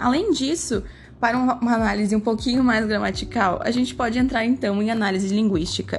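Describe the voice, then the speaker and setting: Somewhat breathy and fairly high, a woman's voice moves at a fairly quick pace with ordinary pitch variation and very even loudness. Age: 20s. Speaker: student teacher presenting a class project. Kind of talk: scripted educational presentation.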